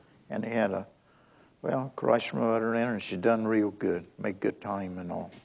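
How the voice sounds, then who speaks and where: This man has a normal speaking voice, fairly low in pitch, with an American accent. He talks at a moderate pace with fairly even intonation. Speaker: retired boat captain, local oral-history storyteller. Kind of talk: oral history anecdote, told to an audience.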